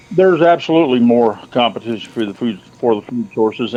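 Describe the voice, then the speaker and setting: Over noticeable background noise, a man with an American accent speaks at a fairly quick pace with ordinary pitch variation. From central Ohio. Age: 50s. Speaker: hunter and trapper. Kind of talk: casual interview.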